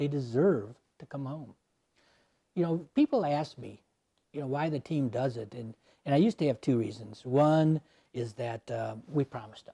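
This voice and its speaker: At a moderate pace with long, frequent pauses, the voice sounds somewhat breathy and dark and mellow in tone, with ordinary pitch variation and a dry, close sound with no echo. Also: man. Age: 70s. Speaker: army veteran and volunteer remains-recovery searcher. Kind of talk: interview conversation.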